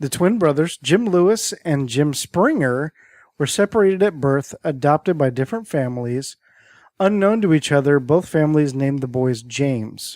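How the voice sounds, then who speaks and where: In a very clean recording with a silent background and a dry, close sound with no echo, a man talks at a moderate pace with lively intonation and a fairly high pitch. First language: Greek. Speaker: podcast co-host. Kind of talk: reading aloud; casual chat.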